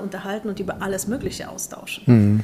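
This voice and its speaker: With noticeable background noise behind her, a woman speaks at a very fast pace. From Poland. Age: 40s. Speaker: business executive. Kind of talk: interview.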